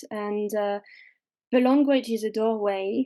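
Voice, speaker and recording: Speaking with a French accent, a woman talks at a fairly slow pace with a fairly high pitch and fairly even intonation. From France, mountains. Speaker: witch and fairy doctor. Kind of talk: podcast interview.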